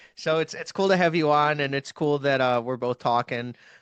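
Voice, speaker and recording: A fairly high-pitched man's voice at a moderate pace, ordinary pitch variation, dry, close sound with no echo, quiet background. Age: 20s. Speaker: hockey prospects YouTuber. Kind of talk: casual interview chat. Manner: enthusiastic.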